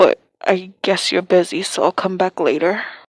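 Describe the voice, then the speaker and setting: A put-on character voice, raspy and monotone with flat intonation, speaks at a moderate pace in a dry, close sound with no echo. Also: woman, medium pitch for a woman. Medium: read story. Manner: harsh.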